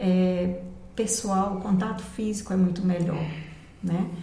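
Noticeable background noise and audible room echo fill the recording. The delivery is fairly slow. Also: woman. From Bahia, Brazil (Barreiras). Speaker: retired music teacher. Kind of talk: casual interview.

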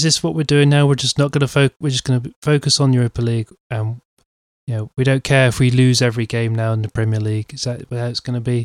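Soft-spoken and very fast, this man talks with ordinary pitch variation, and the sound is dry and close with no echo. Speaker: football podcast co-host. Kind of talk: casual chat. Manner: quiet, soft-spoken.

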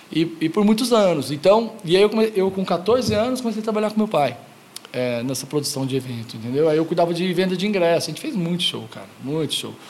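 A man's very fast, high-pitched speech with lively intonation over noticeable background noise. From Goiânia, Brazil. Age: 40s. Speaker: skate shop founder. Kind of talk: casual interview.

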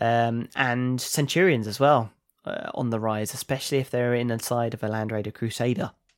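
A man with a normal speaking voice talks at a moderate pace and medium pitch, his intonation fairly even. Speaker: podcast host. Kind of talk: casual chat.

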